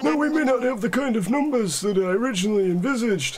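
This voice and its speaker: In a put-on character voice, a man races along at a very fast pace with high pitch, lively intonation and very even loudness. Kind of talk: comic overacting. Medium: solo performance. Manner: polite, fussy, repeats "yes, yes".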